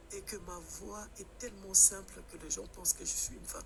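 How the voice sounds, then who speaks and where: A man speaks over noticeable background noise. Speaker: caller. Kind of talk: live stream call-in discussion. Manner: halting.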